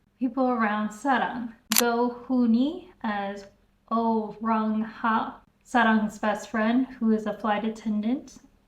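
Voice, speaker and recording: A woman with an American accent speaks at a very slow pace. Her voice is fairly high and somewhat breathy. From US South. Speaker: YouTuber reviewing K-dramas. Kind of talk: casual video review.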